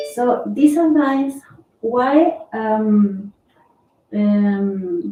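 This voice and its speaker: Somewhat breathy female speech, dark and mellow in tone. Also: fairly high pitch for a woman, lively intonation. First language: not English. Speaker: student asking a question. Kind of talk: question from audience. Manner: halting.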